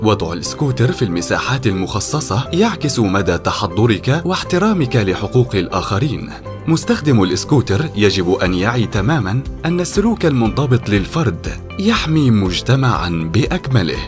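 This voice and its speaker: Music plays behind a man speaking at a fairly slow pace with hardly any pauses. His fairly low pitch swings very widely while his loudness stays very even. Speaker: voice actor. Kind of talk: public awareness ad narration.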